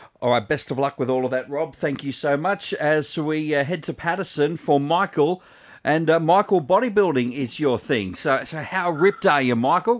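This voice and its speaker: On a very clean recording with a silent background, a man with an Australian accent speaks at a fairly high pitch. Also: lively intonation, moderate pace. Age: 30s. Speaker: radio host. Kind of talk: radio talkback hosting. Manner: jovial.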